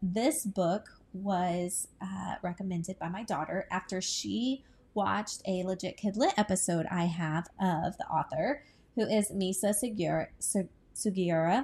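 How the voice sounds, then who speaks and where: A woman speaks at a very slow pace in a relaxed, somewhat breathy tone with ordinary pitch variation. The recording is very clean, with a silent background. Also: medium pitch for a woman. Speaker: book podcaster and booktuber. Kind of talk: casual chat. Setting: at home on the couch. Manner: relaxed with frequent filler words.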